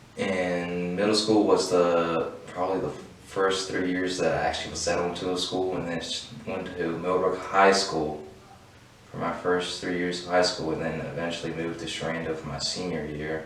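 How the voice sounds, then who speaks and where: A man with an American accent and a very deep, low pitch talks at a moderate pace in monotone, flat intonation, with audible room echo and noticeable background noise. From Virginia, US. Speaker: program graduate. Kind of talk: personal testimony.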